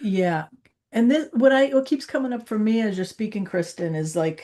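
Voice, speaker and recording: Her intonation rises and falls in a lively way. Behind the woman, all is quiet. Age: 60s. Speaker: livestream co-host, healer. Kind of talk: casual discussion livestream. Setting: livestream video call. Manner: halting.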